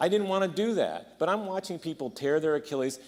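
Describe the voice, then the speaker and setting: At a fairly quick pace, a man speaks in an animated tone. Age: 60s. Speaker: doctor. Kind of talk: conference talk. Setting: conference.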